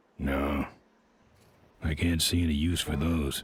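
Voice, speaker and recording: A man's put-on character voice, raspy and very deep, at a fairly slow pace, monotone and flat in intonation, with a deadpan tone. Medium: video game. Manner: laconic, deadpan.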